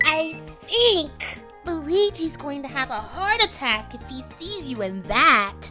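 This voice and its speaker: A female-sounding put-on character voice speaks at a fairly slow pace over clear music in the background. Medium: dub. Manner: calm, soothing.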